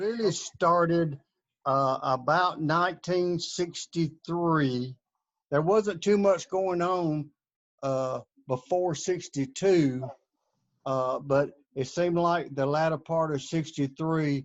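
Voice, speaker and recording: A man with an Alabama accent, fairly high-pitched, with ordinary pitch variation and a very slow pace. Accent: Alabama Southern US. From US South, Birmingham, Alabama. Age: 70s. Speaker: interviewee sharing life history. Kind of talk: interview. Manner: halting, many fillers.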